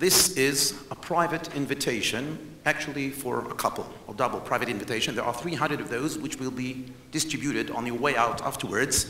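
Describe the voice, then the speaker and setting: A man with an Israeli accent speaks at a fairly quick pace in a fairly high pitch with ordinary pitch variation and hardly any pauses, with audible room echo and noticeable background noise. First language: not English. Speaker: historian and tour guide. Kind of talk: presentation lecture to conference audience. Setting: stage with audience. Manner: animated.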